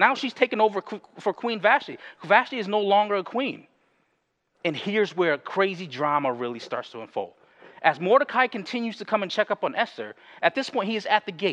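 The recording has a dry, close sound with no echo. A man talks fairly quickly in a high voice. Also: lively intonation. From US Northeast, Bridgeport, Connecticut. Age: 30s. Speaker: pastor. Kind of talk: sermon. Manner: halting, many fillers and restarts.

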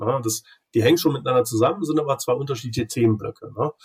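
A man's medium-pitched, somewhat breathy voice, dry and close with no echo. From Germany, Cologne. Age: 40s. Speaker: grid regulation expert. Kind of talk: casual interview.

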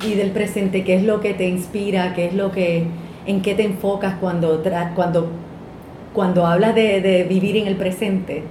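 Speech at a fairly slow pace with monotone, flat intonation comes through audible room echo and noticeable background noise. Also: woman, medium pitch for a woman. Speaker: podcast host. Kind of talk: casual chat; scripted narration.

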